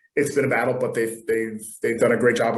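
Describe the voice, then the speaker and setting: Talking at a very fast pace, a man has a medium pitch and an American accent. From US, Connecticut. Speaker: college football coach. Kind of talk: panel webinar introduction. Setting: video call. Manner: hesitant, many fillers.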